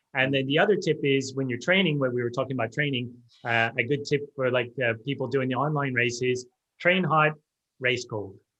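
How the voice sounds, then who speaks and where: With an Australian accent, the speaker talks at a fairly quick pace in a bright, sharp tone. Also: man, medium pitch for a man, ordinary pitch variation. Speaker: sports technology specialist. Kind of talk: interview. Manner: halting, many fillers.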